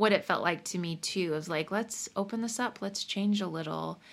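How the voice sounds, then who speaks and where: With an ordinary speaking voice and a General American accent, a woman talks at a moderate pace with lively intonation on a very clean recording with a silent background. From Colorado, US. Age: 30s. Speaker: singer-songwriter and comedian. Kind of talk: interview conversation.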